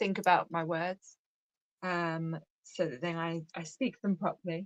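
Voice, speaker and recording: A woman's fairly low voice, very slow and fairly even in intonation, with a dry, close sound and no echo. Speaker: guest host. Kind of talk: casual chat. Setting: live stream.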